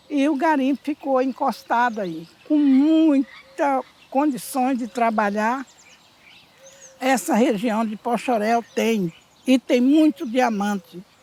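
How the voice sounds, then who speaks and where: A woman talks very slowly in a high voice with ordinary pitch variation. The sound is dry and close with no echo, though noticeable background noise comes through. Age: 70s. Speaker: miner. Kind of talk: interview.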